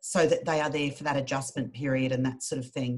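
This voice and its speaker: A woman is speaking. She has an Australian accent. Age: 50s. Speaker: charity worker. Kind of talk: casual chat.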